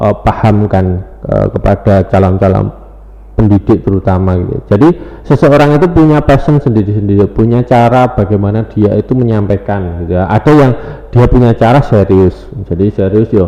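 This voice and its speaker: Someone with a Javanese accent talks at a fairly quick pace with ordinary pitch variation over noticeable background noise. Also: man, fairly low pitch for a man. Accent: Javanese accent, medok. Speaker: teacher and lecturer. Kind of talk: podcast interview. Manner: hesitant, many fillers.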